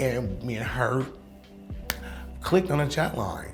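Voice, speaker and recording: Music plays in the background. Over it, a woman talks at a fairly quick pace. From San Francisco. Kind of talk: personal storytelling interview. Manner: candid, conversational.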